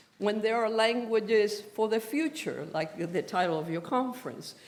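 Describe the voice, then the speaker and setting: With a Spanish accent, a woman speaks at a fairly high pitch with lively intonation, and the room echo is audible. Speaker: professor. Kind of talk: lecture.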